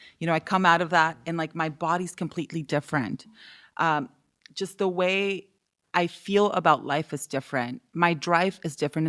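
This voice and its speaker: A fairly low-pitched woman with an American accent at a moderate pace, her intonation fairly even, on a very clean recording with a silent background. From Southern California (East Los Angeles, then Inland Empire). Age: 30s. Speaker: entrepreneur and mother. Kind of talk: casual chat. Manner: lots of filler 'like'.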